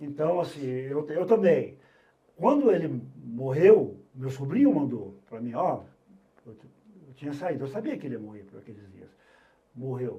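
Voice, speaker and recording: A man's fairly high, somewhat breathy voice, dark and mellow in tone, with lively intonation, big swings in loudness, a fairly slow pace, long, frequent pauses and audible room echo. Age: 70s. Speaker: veteran sports journalist. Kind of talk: casual chat.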